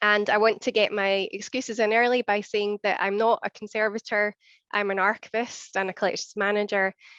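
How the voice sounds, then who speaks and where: The speaker has a Scottish accent and a fairly quick pace with monotone, flat intonation. The sound is dry and close with no echo, over a quiet background. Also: woman, medium pitch for a woman. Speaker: archivist and collections manager. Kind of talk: conference presentation. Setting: seminar with audience.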